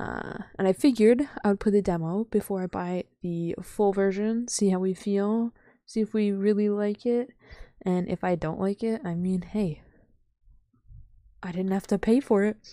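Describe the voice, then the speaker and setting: Over a quiet background, a woman with a dark, mellow tone speaks at a moderate pace with fairly even intonation, the sound dry with no echo. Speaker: streamer. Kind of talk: casual vlog chat. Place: home room. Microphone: studio mic.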